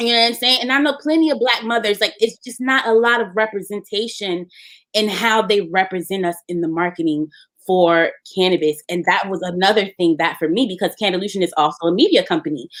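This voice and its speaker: Her intonation is lively and her pitch medium. This woman speaks at a fairly quick pace. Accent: American. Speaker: marketing entrepreneur, app founder. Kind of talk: podcast interview. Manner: loud, animated.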